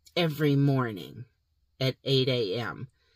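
The sound of this woman's voice is dry with no echo, set against a quiet background. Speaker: channel host. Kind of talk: casual vlog chat. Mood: warm, upbeat. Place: car. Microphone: phone near.

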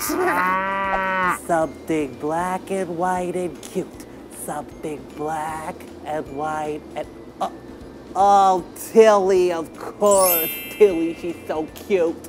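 A cartoonish character voice sits at middle pitch and moves at a very slow pace. Background noise is clearly audible. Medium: puppet. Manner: playful, goofy.

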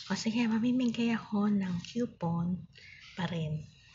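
Soft-spoken and whispering, a woman talks at a very slow pace. Light background noise is present. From Philippines. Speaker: online seller live streamer. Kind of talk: casual live stream with viewer games. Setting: live stream on phone. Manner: soft-spoken, near whisper; animated. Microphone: phone near.

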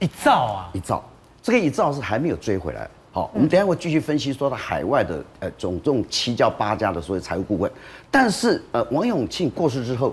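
A man talks at a fairly quick pace with vocal fry. His pitch swings very widely. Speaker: talk show guest commentator. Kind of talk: commentary. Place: studio.

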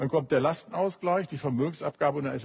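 Against a quiet background, a man speaks at a very fast pace in a somewhat breathy voice with ordinary pitch variation. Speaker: talk show guest. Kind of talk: panel discussion argument. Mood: alarmed, indignant. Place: studio.

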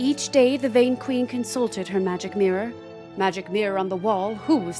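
A woman talks at a medium pitch, its variation ordinary. She keeps a moderate pace while music plays behind her. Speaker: singer. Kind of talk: storybook prologue narration voiceover.

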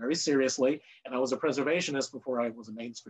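The man talks at a very fast pace. His intonation remains fairly even. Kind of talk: webinar presentation. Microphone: video call.

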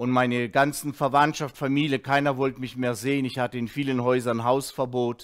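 Over a quiet background, a man talks with hardly any pauses in a monotone, flat intonation. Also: moderate pace. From Russia, moved to Germany as a child in 1979. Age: 50s. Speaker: former drug addict giving a testimony; speaker. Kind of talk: testimony; teaching. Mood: earnest, reflective. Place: studio. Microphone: headset.

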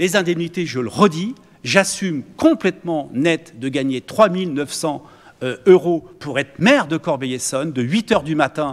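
The high-pitched voice of a man moves through very wide pitch swings. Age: 60s. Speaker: mayor chairing a municipal council; mayor at council meeting. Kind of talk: heated debate. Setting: council chamber meeting. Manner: animated; hesitant with fillers. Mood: defensive, indignant. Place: meeting room. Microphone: podium.

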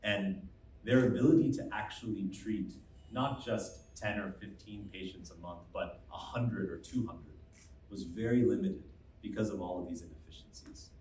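A man with an American accent and a fairly low pitch, lively intonation and big swings in loudness at a moderate pace, with audible room echo and light background noise. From US. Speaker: medtech company founder and CEO; presenter. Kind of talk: press conference presentation. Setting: stage with audience. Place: hall.

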